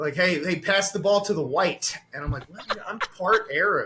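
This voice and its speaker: A man with a high pitch speaks in a raised, projected voice at a fairly quick pace over noticeable background noise. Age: 30s. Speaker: comedian. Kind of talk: casual chat; stand-up.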